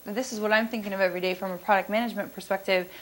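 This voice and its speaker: Her pitch fairly high, a woman is speaking. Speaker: product manager presenting at a business seminar. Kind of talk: conference presentation; audience Q&A. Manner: fast.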